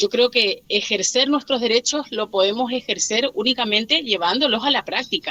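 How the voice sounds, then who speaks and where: At a moderate pace, a woman with a high pitch and a bright, sharp tone is heard in a dry, close sound with no echo. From Argentina, Chaco (Machagay). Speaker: teacher. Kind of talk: online class discussion. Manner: halting, many fillers.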